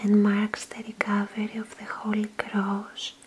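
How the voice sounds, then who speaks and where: Noticeable background noise behind a woman with a fairly high pitch. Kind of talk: casual talk to camera.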